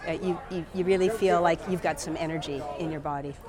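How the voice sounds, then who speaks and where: A woman speaks with audible room echo and music playing in the background. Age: 60s. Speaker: artist and amateur marathon runner. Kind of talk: casual interview. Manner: halting, with many fillers and repetitions.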